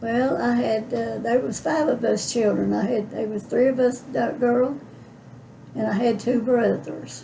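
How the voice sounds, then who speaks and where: In an Appalachian accent, a woman speaks at a fairly slow pace. Noticeable background noise is present. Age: 80s+. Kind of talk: interview answer. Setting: home. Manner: folksy, reminiscing.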